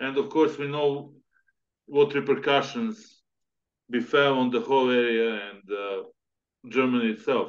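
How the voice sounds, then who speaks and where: Fairly high-pitched man at a fairly slow pace, lively intonation, big swings in loudness, and long, frequent pauses. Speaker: podcast host. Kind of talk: interview. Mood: serious, explanatory. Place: home room. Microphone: video call.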